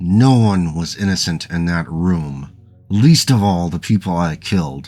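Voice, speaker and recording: A man's put-on character voice, growling and very deep and low, at a moderate pace. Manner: growling, furious.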